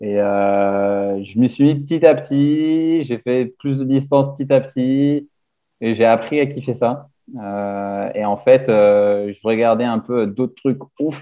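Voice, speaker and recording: A man with a medium pitch at a very slow pace. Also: ordinary pitch variation. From grew up abroad, mostly outside France. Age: 20s. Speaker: ultra-endurance cyclist. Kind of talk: casual chat. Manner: halting, many hesitations.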